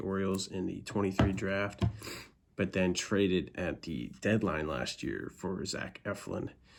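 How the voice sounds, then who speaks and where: At a moderate pace, a man speaks with a very deep, low pitch. There is vocal fry and ordinary pitch variation. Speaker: podcast host. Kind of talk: casual podcast talk. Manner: casual, hesitant with fillers.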